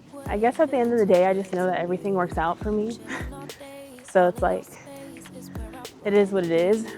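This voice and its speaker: A woman's medium-pitched voice at a fairly quick pace, ordinary pitch variation and long, frequent pauses, with music in the background. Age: late 20s. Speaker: yoga teacher and corporate worker. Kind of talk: casual vlog talk to camera while hiking. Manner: casual, chatty.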